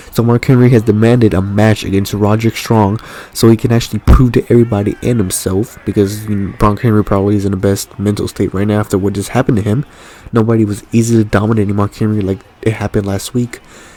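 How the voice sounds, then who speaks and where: Very fast and monotone, a man speaks with flat intonation at a fairly low pitch. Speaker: gaming commentator. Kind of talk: live commentary. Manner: stuttering at times; casual, hesitant with fillers.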